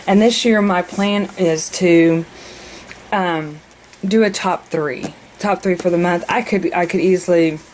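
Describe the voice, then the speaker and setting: A woman with fairly even intonation amid noticeable background noise. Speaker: mother. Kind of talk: casual planner walkthrough to camera.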